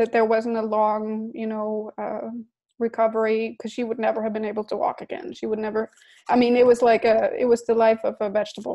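Over a quiet background, a woman with a Danish accent speaks fairly quickly in a fairly high voice, with a dark, mellow tone and monotone, flat intonation. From Denmark. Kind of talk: interview.

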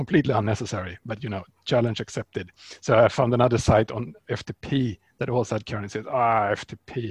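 Speaking with a Swedish accent, a man uses a medium pitch, a fairly quick pace and fairly even intonation, with a somewhat breathy quality. The sound is dry and close, with no echo. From Sweden. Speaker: software developer and open source founder. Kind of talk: interview.

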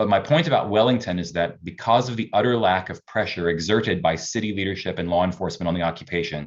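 A man with a fairly low pitch talks at a very fast pace, his pitch varying in an ordinary way. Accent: Canadian. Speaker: researcher. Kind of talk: public testimony.

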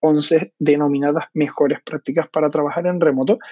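With a monotone, flat intonation, a man speaks at a fairly high pitch. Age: 30s. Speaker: podcast host; digital strategy freelancer. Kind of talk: casual monologue. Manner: hesitant, many fillers.

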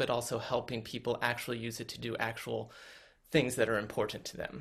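A man speaks at a moderate pace and medium pitch, with vocal fry. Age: 40s. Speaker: former tech worker, spiritual community member. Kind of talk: interview. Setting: video call.

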